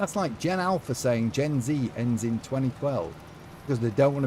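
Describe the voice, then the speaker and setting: Medium in pitch, a man speaks with an English accent. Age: 50s. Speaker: gaming live streamer. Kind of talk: live stream chat while gaming. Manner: animated.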